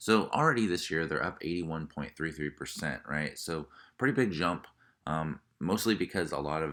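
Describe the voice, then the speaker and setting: On a very clean recording with a silent background, a man with vocal fry and a very deep, low pitch talks at a moderate pace with ordinary pitch variation. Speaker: stock market YouTuber. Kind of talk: casual explainer video. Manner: hesitant with many fillers.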